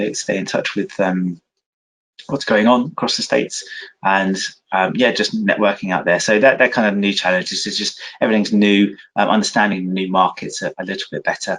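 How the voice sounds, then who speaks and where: A man with a British accent at a fairly quick pace. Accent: non-American, British. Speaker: cyber security sales lead. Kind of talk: interview. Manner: hesitant, many fillers.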